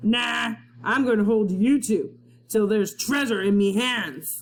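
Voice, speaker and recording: A put-on character voice, pitched fairly high and gruff. It growls along at a fairly slow pace. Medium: read story. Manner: growling, menacing.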